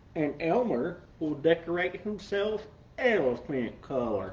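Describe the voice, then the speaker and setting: A put-on character voice speaks at a middle pitch and a fairly slow pace. Background noise is clearly heard. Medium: read story.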